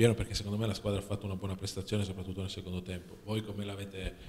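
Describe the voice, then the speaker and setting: A man talks at a very fast pace and fairly low pitch in a monotone, flat intonation, with light background noise. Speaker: sports journalist. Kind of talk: press conference questions. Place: meeting room.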